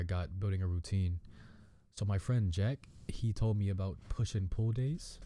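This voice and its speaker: A man with a fairly low pitch and a dark, mellow tone speaks at a moderate pace on a very clean recording with a silent background. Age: young. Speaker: podcast host. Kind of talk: casual monologue. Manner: laughs often.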